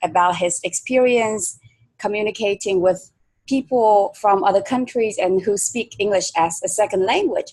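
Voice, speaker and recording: A woman talks fairly slowly at a medium pitch, her pitch varying in an ordinary way. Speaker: English teacher, interviewer. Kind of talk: interview.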